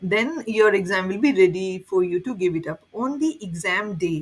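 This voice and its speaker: A woman with a somewhat breathy voice speaks at a moderate speed, her pitch varying in an ordinary way. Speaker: certification exam guide creator. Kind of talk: tutorial.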